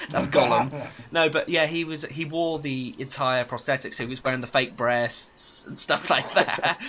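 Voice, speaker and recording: A fairly high-pitched man speaks at a moderate pace with fairly even intonation and hardly any pauses. Noticeable background noise runs behind him. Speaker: podcast host. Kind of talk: casual chat.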